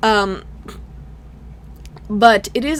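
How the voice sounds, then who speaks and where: A woman speaks with a non-native accent. Noticeable background noise runs behind her. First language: not English. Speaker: gaming YouTuber. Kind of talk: video game review. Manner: casual, halting with fillers.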